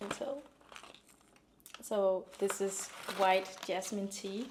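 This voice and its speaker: A woman at medium pitch, very slow pace and fairly even intonation, with noticeable background noise. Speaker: lifestyle vlogger. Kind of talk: casual talk to camera.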